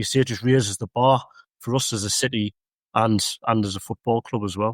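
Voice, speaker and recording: A man with a North East English accent talks at a fairly quick pace, his medium pitch kept in fairly even intonation. The sound is dry and close with no echo, in a very clean recording with a silent background. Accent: broad Mackem (Sunderland). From northern England, Sunderland. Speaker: local councillor. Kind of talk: casual chat.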